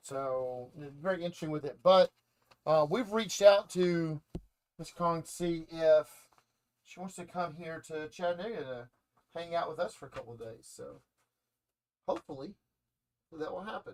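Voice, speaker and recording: A man with a Southern US accent speaks in a high voice with ordinary pitch variation. He leaves long, frequent pauses. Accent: Southern drawl. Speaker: comic shop host. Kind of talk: casual chat. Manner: halting.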